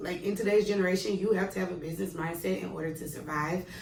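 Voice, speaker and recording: A woman talks in an animated tone. Audible room echo and noticeable background noise surround her voice. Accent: American. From Mississippi, US South. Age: 20s. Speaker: vlogger and kindergarten teacher. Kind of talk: casual tutorial vlog. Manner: fast.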